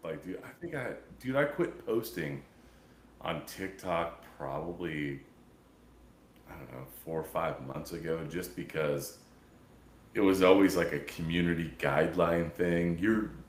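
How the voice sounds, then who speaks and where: A man with an American accent speaks at a fairly slow pace in a very deep, low, raspy voice, with long, frequent pauses and big swings in loudness. Audible room echo surrounds him. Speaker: podcast host. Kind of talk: casual chat. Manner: casual, halting.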